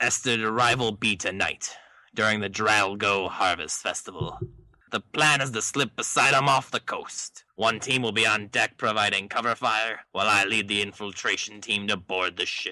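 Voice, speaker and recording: A put-on character voice from a man, fairly low in pitch, at a moderate pace. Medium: read story. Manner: gruff, commanding.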